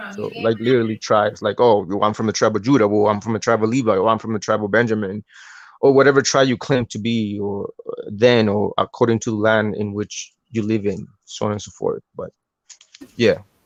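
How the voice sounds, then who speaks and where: A man with a strong non-native accent and a medium pitch at a fairly quick pace, flat and monotone, in a dry, close sound with no echo. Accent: thick accent, non-native. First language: not English. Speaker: podcast host, religious teacher. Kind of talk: casual religious discussion on live podcast. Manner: halting, many repetitions and fillers.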